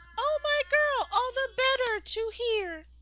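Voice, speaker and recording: In a put-on, squeaky character voice, a woman speaks at an extremely high pitch and a fairly slow pace. Loud background noise fills the recording. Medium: read story.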